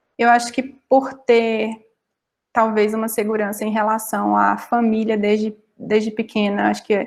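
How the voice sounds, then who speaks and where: A woman with a fairly high voice speaks at a fairly slow pace. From Brazilian Northeast. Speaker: data analyst. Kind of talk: panel talk.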